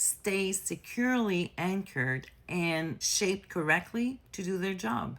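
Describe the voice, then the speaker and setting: A woman speaks at a very slow pace in a French accent, her pitch medium and her intonation lively. The recording is very clean, with a silent background. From France. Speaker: nurse health educator. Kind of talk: educational explainer. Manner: casual, conversational.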